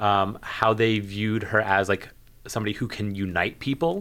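Fairly low in pitch, a man speaks with fairly even intonation in an unremarkable speaking voice on a very clean recording with a silent background. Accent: American. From New Jersey. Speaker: public health graduate student. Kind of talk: casual chat. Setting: studio.

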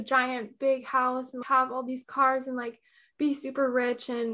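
A woman projects her voice in a raised, high-pitched delivery. Her tone is bright and sharp, and her pace is moderate. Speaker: yoga instructor and shadow work coach. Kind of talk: casual interview. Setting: guest's apartment.

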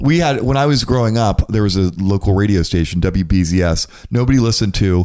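A man with a fairly low, dark, mellow voice talks at a fairly quick pace with hardly any pauses, lively intonation and very even loudness. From Florida, Orlando. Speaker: podcaster and comedian. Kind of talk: casual chat.

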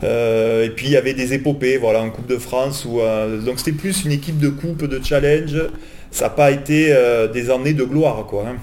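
A man with a southern French accent speaks at a medium pitch and a moderate pace. Audible room echo and noticeable background noise surround him. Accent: southern French, sing-song. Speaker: football supporter. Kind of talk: casual chat. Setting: in person studio.

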